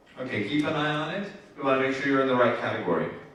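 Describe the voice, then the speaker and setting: A man speaks with audible room echo and noticeable background noise. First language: Spanish. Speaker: event host. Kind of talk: instructions to audience.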